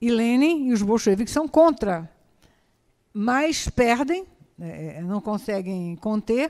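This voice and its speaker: Her pitch is fairly high, and this woman's voice moves in very wide pitch swings and big swings in loudness. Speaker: historian giving a talk. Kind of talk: lecture. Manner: halting, many fillers and repetitions.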